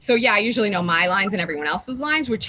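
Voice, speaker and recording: A woman talks very fast with lively intonation over noticeable background noise. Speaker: actress. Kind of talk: interview.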